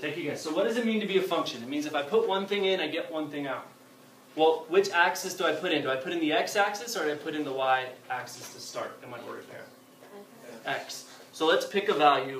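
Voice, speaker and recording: A man speaks very fast at a fairly high pitch, with ordinary pitch variation. Noticeable background noise and audible room echo fill the recording. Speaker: math teacher. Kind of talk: classroom lecture. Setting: classroom with students.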